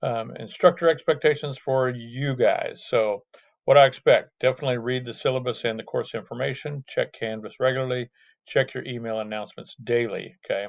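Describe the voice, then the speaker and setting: A man's unremarkable speaking voice, medium in pitch, with fairly even intonation at a fairly quick pace. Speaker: math instructor. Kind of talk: lecture. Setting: video call.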